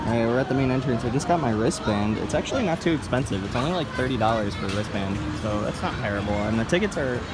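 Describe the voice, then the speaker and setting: Over clear background music, a man talks at a very fast pace with hardly any pauses. His pitch varies in an ordinary way, and the sound is dry with no echo. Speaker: park vlogger. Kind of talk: casual vlog chat. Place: street. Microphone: phone near.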